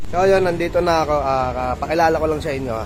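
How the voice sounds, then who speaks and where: A man talks at a very fast pace with ordinary pitch variation, and noticeable background noise is present. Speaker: vlogger. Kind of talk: casual vlog. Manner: halting.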